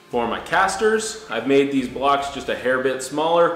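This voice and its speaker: The speech moves at a fairly quick pace. Audible room echo and light background noise come through. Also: man. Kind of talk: tutorial. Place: garage.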